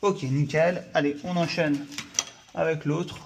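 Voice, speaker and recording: Against noticeable background noise, a man speaks at a very slow pace with fairly even intonation. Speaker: electrician. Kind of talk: tutorial. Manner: casual.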